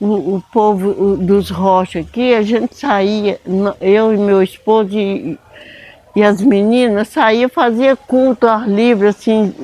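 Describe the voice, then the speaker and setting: A woman speaks at a very slow pace, her pitch medium with ordinary variation. The sound is dry and close, with no echo. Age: 70s. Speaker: church elder. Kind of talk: interview testimony. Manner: halting.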